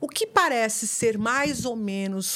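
A woman speaks at a fairly high pitch on a very clean recording with a silent background. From Brazil. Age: 50s. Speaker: neuroscientist. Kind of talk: interview conversation.

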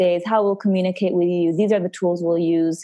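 Her tone dark and mellow, a woman at medium pitch speaks at a fairly quick pace with fairly even intonation. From Italian-speaking Switzerland. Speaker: remote work culture lead. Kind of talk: interview.

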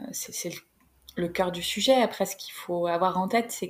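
A somewhat breathy woman's voice at medium pitch, fairly slow and with ordinary pitch variation, on a very clean recording with a silent background. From northern France (Creil, Oise). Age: 30s. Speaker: career coach, company founder. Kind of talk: interview. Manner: halting, many repetitions and fillers.

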